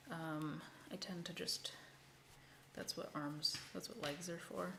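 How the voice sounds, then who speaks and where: A soft-spoken woman talks at a fairly slow pace, with audible room echo around her. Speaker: crochet content creator. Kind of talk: casual craft livestream tutorial. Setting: livestream at home.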